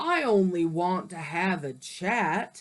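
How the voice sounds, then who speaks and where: The speaker uses a put-on character voice. The pace is fairly slow. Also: woman. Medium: read story.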